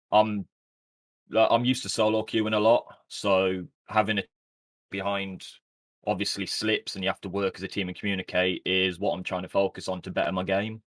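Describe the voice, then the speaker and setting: A man with a British accent speaks fairly quickly at a fairly low pitch, in a monotone, flat way with long, frequent pauses. The recording is very clean with a silent background and a dry, close sound with no echo. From West Midlands, England. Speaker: esports team owner and player. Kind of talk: interview.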